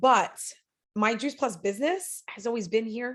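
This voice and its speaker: A woman talks with a Long Island accent. Her pitch sits fairly high and moves with ordinary variation. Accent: Long Island New York. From Long Island, New York. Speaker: network marketing director. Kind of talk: podcast interview.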